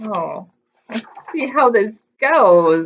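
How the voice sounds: Speaking at a very slow pace, a woman with a medium pitch and a slightly husky edge uses lively intonation.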